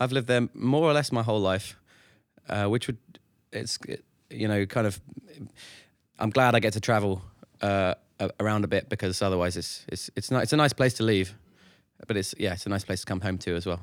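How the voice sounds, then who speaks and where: A man speaks in a London accent at a fairly low pitch. His fairly quick delivery has long, frequent pauses on a very clean recording with a silent background. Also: ordinary pitch variation. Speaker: touring musician. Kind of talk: casual chat.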